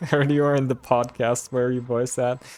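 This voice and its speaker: The speaker is a man. He has a slight Bulgarian accent. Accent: near-accentless English, slight Bulgarian. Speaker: streamer. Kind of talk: live game commentary; casual chat with viewers. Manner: casual, filler-heavy.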